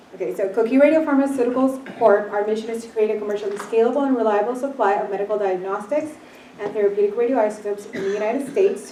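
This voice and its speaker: Through audible room echo and noticeable background noise, a woman with a fairly high voice speaks very fast with fairly even intonation. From Puerto Rico. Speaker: company founder. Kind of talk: business presentation.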